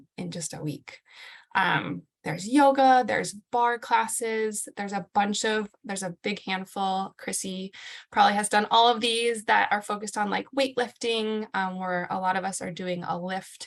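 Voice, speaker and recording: Using an unremarkable speaking voice, a woman talks at a moderate speed, her pitch varying in an ordinary way. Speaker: fitness coach. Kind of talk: group video call presentation.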